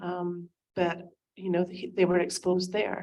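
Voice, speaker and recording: A woman with a Scottish accent speaks at a fairly slow pace and medium pitch. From Scotland. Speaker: concerned parent at town hall. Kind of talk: public testimony. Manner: hesitant, many fillers.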